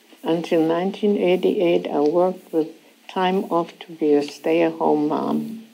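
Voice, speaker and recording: Ordinary pitch variation marks speech delivered at a very slow pace. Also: woman. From Germany. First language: German. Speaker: Holocaust refugee survivor. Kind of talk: testimony. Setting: school classroom with student audience. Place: hall. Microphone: lapel.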